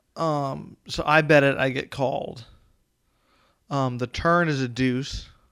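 A man with a fairly high voice and an American accent, speaking at a very slow pace with long, frequent pauses and fairly even intonation, in a very clean recording with a silent background. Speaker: poker podcast co-host. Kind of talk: casual chat.

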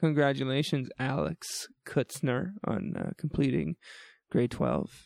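Speaking at a very slow pace, a man with a fairly high pitch and some vocal fry shows ordinary pitch variation in a dry, close sound with no echo. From New Brunswick, Canada. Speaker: university orientation week podcast host. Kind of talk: casual chat. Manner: animated.

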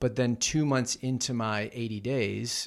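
Over a silent background in a very clean recording, an unremarkable speaking voice keeps a fairly even intonation. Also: man. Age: 40s. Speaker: author and keynote speaker. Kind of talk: casual chat.

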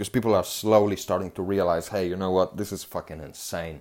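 In a very clean recording with a silent background, a man speaks fairly low with a non-native accent. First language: not English. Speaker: podcast host. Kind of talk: solo monologue podcast. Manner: animated.

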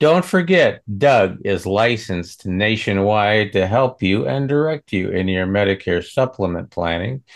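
Over a quiet background, a man with an unremarkable speaking voice and fairly low pitch talks fairly slowly with lively intonation and hardly any pauses. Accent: American. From Western Nebraska. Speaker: co-host, regular chat partner. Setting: video call.

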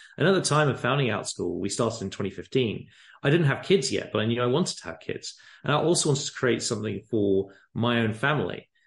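A man with an English accent speaks at a medium pitch, somewhat breathy, over a quiet background. His pace is very fast and his intonation lively. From England. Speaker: company founder. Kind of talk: casual interview. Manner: gentle, passionate.

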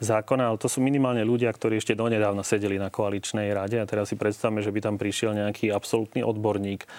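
On a very clean recording with a silent background, a man talks at a very fast pace. His pitch is fairly low. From central Slovakia. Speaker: political scientist. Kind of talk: TV talk show interview.

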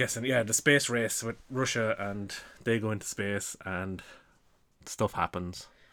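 Recorded very cleanly against a silent background, a man with an Irish accent speaks fairly slowly in a bright, sharp tone at a fairly low pitch with fairly even intonation. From Ireland. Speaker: podcast co-host. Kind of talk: casual chat.

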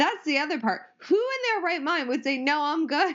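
A woman's high voice rises and falls in very wide pitch swings as she speaks. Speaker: lawyer, judge candidate. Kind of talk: casual chat.

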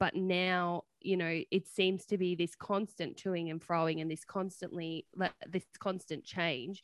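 A woman with a fairly low pitch talks at a fairly slow pace in a monotone, flat delivery. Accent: Australian. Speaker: nurse podcast co-host. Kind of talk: casual chat. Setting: video call.

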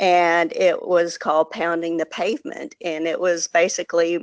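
A woman's fairly low pitch in a Texan accent. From Texas. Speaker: economic development professional. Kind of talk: interview.

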